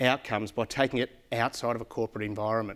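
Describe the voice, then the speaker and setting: A man with an Australian accent speaks at a very fast pace, the recording very clean with a silent background and a dry, close sound with no echo. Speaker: corporate account manager. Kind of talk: conference presentation. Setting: stage with audience. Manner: loud; animated.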